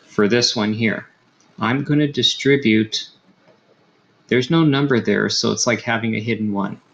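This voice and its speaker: A soft-spoken man at medium pitch and moderate pace, with ordinary pitch movement and long, frequent pauses. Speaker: high school math teacher. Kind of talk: tutorial. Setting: home recording at night. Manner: soft-spoken, keeping volume down.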